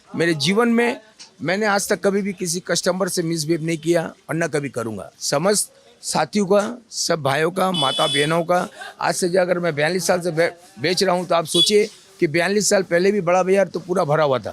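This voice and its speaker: With music playing in the background, a man talks at a moderate pace in a high voice with ordinary pitch variation. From Kolkata, India. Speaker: street food shop owner. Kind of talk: interview.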